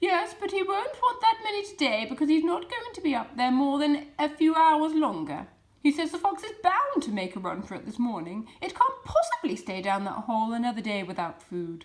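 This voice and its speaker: A woman puts on a character voice pitched high, swinging very widely up and down. She talks at a fairly quick pace with hardly any pauses. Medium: read story. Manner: curt, commanding.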